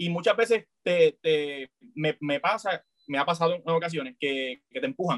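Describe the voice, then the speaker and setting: This man talks at a moderate pace with high pitch and lively intonation. The sound is dry and close, with no echo. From Puerto Rico. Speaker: comedian and content creator. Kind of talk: casual interview.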